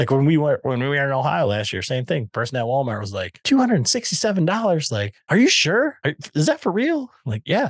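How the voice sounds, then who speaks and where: A man with an American accent, fairly high-pitched and very fast with hardly any pauses, pitch swinging very widely, dry and close with no echo over a quiet background. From West Michigan. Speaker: podcast host and bowhunter. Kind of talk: casual chat.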